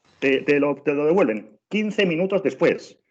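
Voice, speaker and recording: Here a man speaks with a Spanish accent. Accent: Spanish (Spain). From Spain. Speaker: travel trainer, former tour guide. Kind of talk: online training webinar. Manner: animated, many repetitions and fillers.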